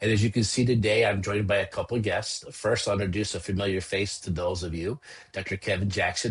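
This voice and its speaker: A man with an American accent speaks at a fairly low pitch. His voice is somewhat breathy, with ordinary pitch variation. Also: quiet background. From US Midwest. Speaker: podcast host, chiropractor. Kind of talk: podcast hosting.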